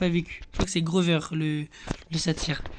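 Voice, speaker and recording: There is noticeable background noise as a man speaks in a high pitch. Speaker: gaming youtuber. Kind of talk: casual gameplay commentary. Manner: fast; halting, many fillers and repetitions.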